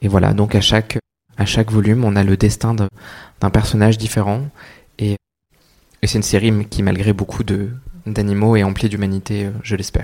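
On a very clean recording with a silent background, a man with a fairly low pitch talks at a fairly quick pace in a monotone, flat intonation, leaving long, frequent pauses. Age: 30s. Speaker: children's author. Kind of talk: public talk at bookshop event. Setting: bookshop event with audience.

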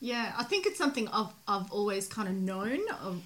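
Noticeable background noise sits under a woman who talks at a fairly quick pace. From migrant to Australia. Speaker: podcast host. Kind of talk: casual chat. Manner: casual, swears freely.

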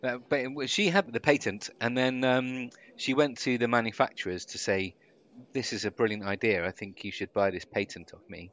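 Over a quiet background, a man in a medium pitch speaks with a British accent and big swings in loudness. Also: ordinary pitch variation, moderate pace, dry, close sound with no echo. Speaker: podcast co-host, former radio broadcaster. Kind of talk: casual chat.

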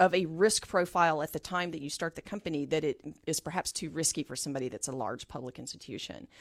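A woman at a very fast pace, fairly low in pitch with ordinary pitch variation, her sound dry and close with no echo in a very clean recording with a silent background. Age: 50s. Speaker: health tech company CEO. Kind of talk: radio interview. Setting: radio studio.

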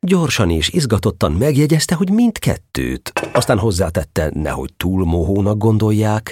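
Fairly slow and with hardly any pauses, a man speaks at a fairly low pitch. His tone is warm and playful, with very wide pitch swings. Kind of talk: fairy-tale audiobook reading, narration with character lines. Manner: warm, storytelling narrator with a gently playful, animated tone.

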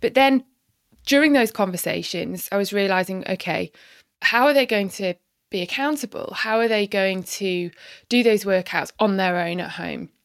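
At a moderate pace, a woman with an ordinary speaking voice, medium pitch and ordinary pitch variation is heard in a very clean recording with a silent background and a dry, close sound with no echo. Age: 40s. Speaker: online fitness coach and former lawyer. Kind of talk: casual interview.

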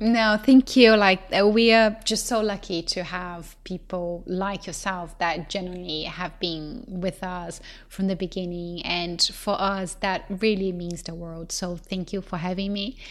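Speaking in a Portuguese accent at a medium pitch, a woman talks at a fairly slow pace with hardly any pauses, fairly even intonation and big swings in loudness, in a very clean recording with a silent background. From Brazil. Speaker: company co-founder. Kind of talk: interview.

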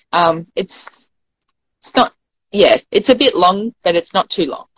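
With an Australian accent and a bright, sharp tone, a woman speaks at a fairly slow pace in a dry, close sound with no echo. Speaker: poet. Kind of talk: poetry reading.

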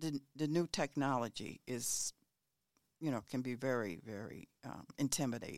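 This woman has a very deep, low pitch and an American accent, with ordinary pitch variation at a moderate pace. The sound is dry and close with no echo, on a very clean recording with a silent background. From US South, North Carolina and Maryland. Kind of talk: casual conversation, advice.

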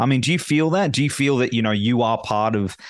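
Lively intonation from a man with an Australian accent, in a dry, close sound with no echo. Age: 40s. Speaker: podcast host. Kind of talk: casual interview chat.

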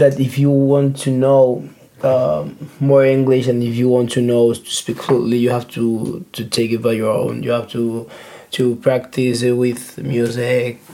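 Fairly slow speech with a Spanish accent and noticeable background noise. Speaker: podcast guest. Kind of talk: casual chat. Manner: halting.

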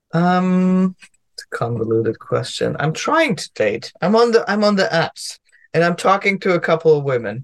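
The speaker has a German accent and a moderate pace, with very wide pitch swings. The background is quiet. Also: man, high pitch for a man. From Germany. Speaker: comedian and lawyer. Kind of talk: casual chat.

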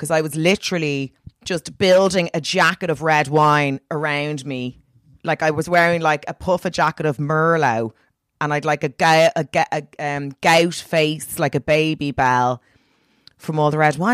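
With an Irish accent, a woman speaks at a moderate pace at a very deep, low pitch with ordinary variation, the sound dry and close with no echo. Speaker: comedian. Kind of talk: casual chat. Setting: video call. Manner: animated.

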